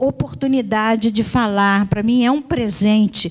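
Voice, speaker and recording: Very slowly, a woman talks in a somewhat breathy voice pitched fairly high. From Brazil, Rio de Janeiro and Northeast. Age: 60s. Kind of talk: conference lecture. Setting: university auditorium.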